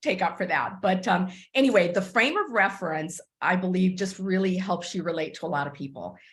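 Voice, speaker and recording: With an American accent, a woman talks at a fairly quick pace and medium pitch, with ordinary pitch variation and audible room echo. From Texas, US (Cuban-born, arrived age five). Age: 60s. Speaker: business mentor. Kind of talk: mentoring talk. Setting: conference call.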